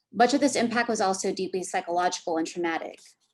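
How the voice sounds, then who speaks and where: A woman talks in a Californian accent. Her medium pitch shows ordinary variation. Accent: Californian American English. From US, San Francisco Bay Area. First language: Korean. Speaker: academic panelist. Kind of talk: prepared talk read aloud.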